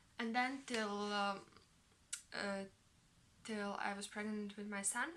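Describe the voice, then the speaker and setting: With a bright, sharp tone, this woman's voice sits at a medium pitch. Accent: non-native. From Latvia. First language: Latvian. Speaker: knitting vlogger. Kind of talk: casual vlog monologue. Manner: halting, many fillers.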